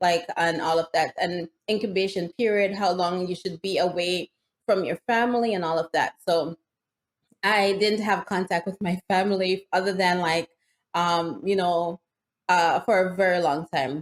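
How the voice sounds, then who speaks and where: In a Jamaican accent, a woman speaks at a moderate pace and medium pitch with fairly even intonation, the sound dry and close with no echo. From Jamaica, rural Hanover Parish. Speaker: nurse and vegan juicing content creator. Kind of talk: interview conversation.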